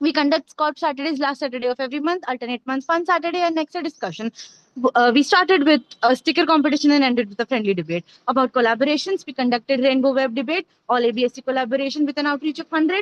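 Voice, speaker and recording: In a dry, close sound with no echo, a woman talks at a very fast pace in a high pitch with ordinary pitch variation. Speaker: student officer of medical students' association. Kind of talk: formal report presentation.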